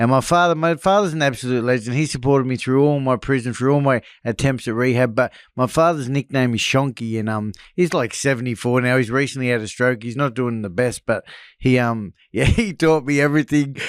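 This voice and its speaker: Speaking fairly quickly in an Australian accent, a man uses a medium pitch with ordinary pitch variation, in a very clean recording with a silent background. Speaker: former drug addict and escaped prisoner. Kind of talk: interview testimony.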